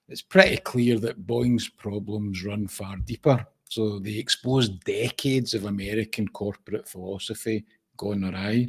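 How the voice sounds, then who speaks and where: A man's fairly low voice with a Scottish accent and fairly even intonation, in a dry, close sound with no echo. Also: moderate pace, big swings in loudness. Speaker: podcast co-host. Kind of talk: casual chat.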